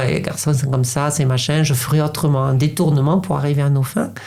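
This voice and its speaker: A woman's very deep, low voice at a fairly quick pace, with audible room echo and noticeable background noise. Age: 50s. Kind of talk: interview. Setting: podcast recording. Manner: halting, many repetitions.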